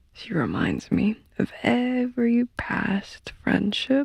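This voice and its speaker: A woman's voice comes through with a dry, close sound and no echo. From Poland. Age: 20s. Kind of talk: ASMR sleep ramble. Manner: whispered, soft-spoken.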